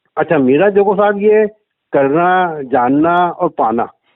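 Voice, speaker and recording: A man's high-pitched voice with lively intonation. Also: very even loudness. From Rajasthan, India (Ajmer district). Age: 60s. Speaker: caller, businessman and spiritual seeker. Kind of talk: phone call testimony to spiritual teacher.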